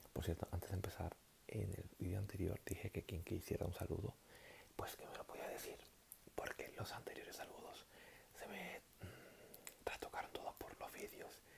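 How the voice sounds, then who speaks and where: A man whispers at a moderate pace. His tone is relaxed. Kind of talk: casual talk to camera, greeting viewers. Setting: talking to camera, explaining abstract algebra. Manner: soft-spoken, relaxed, improvised.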